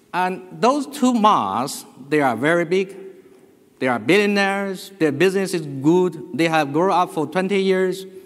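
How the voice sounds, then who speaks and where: With a Chinese accent, a man speaks at a fairly slow pace with a high pitch and lively intonation, and there is audible room echo. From China. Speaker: business executive. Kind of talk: conference presentation. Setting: stage with audience.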